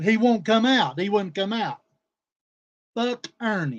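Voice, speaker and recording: A man speaks loudly in a high voice. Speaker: streamer. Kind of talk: livestream rant. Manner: animated.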